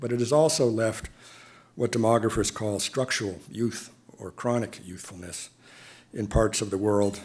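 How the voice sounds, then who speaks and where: A man with an American accent and an unremarkable speaking voice talks at a moderate pace and medium pitch, with ordinary pitch variation and big swings in loudness. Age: 60s. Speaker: diplomat. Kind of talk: lecture. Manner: formal.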